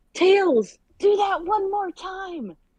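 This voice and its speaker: A put-on character voice, squeaky and extremely high in pitch, does the talking. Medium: read story.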